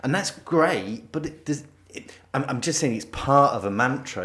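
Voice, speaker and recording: At a moderate pace, a man talks in a northern English accent. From northern England. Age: middle-aged. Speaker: podcast co-host. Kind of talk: casual chat.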